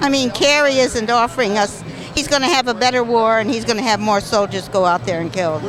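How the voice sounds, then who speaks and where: Fairly high female voice with an American accent, ordinary pitch variation, and music in the background. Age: 80s+. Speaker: protester. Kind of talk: street interview.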